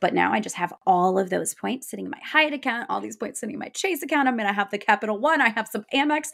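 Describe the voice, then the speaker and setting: An animated female voice with vocal fry and lively intonation. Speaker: podcast co-host. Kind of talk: casual chat. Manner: loud, projecting.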